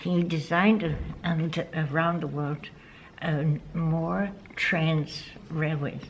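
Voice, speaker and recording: Over noticeable background noise, a woman speaks in a fairly low voice. She goes at a fairly slow pace with fairly even intonation. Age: 80s+. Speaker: yoga instructor. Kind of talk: interview answer.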